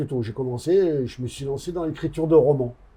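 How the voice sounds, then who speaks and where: A man talks at a fairly quick pace in a fairly high pitch. His pitch variation is ordinary. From Corsica. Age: 60s. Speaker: author and former prisoner. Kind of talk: interview. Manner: hesitant, many fillers.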